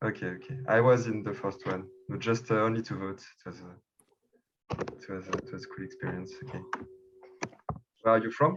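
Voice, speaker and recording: With a French accent, a man speaks at a fairly quick pace in a medium pitch, somewhat breathy, with lively intonation, big swings in loudness, and long, frequent pauses. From France, Paris. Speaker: election candidate, community member. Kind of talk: video call group discussion. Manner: halting, many fillers and repeats.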